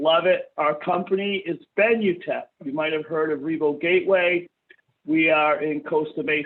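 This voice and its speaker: With an East Coast US accent, the speaker keeps a moderate pace and fairly even intonation. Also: man, fairly high pitch for a man. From US East Coast. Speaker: software company trainer. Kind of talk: webinar training.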